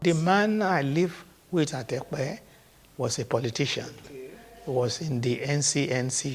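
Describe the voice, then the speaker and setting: A man with a fairly high pitch talks in a Nigerian accent. His pace is fairly slow, with long, frequent pauses. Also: ordinary pitch variation. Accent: Nigerian (Yoruba) English. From Nigeria, Ogun State. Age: 80s+. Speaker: traditional ruler. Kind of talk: interview answer.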